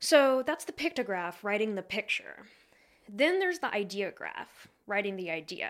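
A woman speaks with an American accent at a fairly high pitch, her voice making very wide pitch swings. The recording is very clean, with a silent background. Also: moderate pace. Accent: regional US dialect affecting pronunciation. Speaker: history podcast host. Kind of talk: casual chat.

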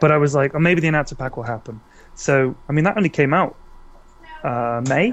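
Speaking with a British accent, the voice moves at a fairly quick pace with ordinary pitch variation but long, frequent pauses. Noticeable background noise runs underneath. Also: man, fairly high pitch for a man. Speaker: video game content creator and announcer voice. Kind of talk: casual chat. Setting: online call.

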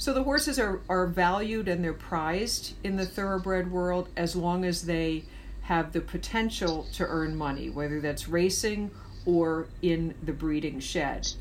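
A woman with an American accent speaks in a plain, everyday voice. Her pitch is fairly low, with ordinary variation, at a fairly slow pace. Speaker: horse rescue advocate. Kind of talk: interview.

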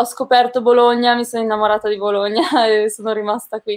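Her pitch fairly high, a woman speaks at a fairly quick pace with monotone, flat intonation. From northern Italy, province of Brescia (Lombardy). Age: 20s. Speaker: Paralympic athlete. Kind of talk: interview. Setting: live stream video call.

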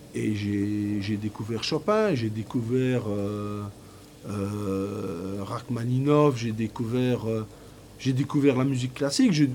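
Noticeable background noise runs under this clip. A man talks at a very slow pace. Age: 50s. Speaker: factory worker and poet. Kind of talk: interview testimony.

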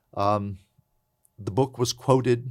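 On a very clean recording with a silent background, a man has a normal speaking voice and talks at a moderate pace. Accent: American. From US South, southern West Virginia (Appalachia). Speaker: law professor. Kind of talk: interview.

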